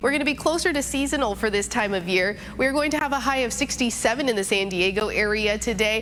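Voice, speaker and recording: Over noticeable background noise, a woman with a fairly high pitch and lively intonation speaks at a very fast pace with hardly any pauses and very even loudness. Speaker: TV news anchor, weather anchor and reporter. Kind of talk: TV weather forecast delivery.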